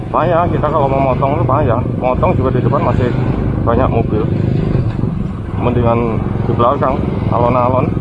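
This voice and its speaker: A man keeps up a fairly quick pace while loud background noise surrounds him. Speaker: motorbike rider vlogger. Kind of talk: casual vlog commentary. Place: motorbike.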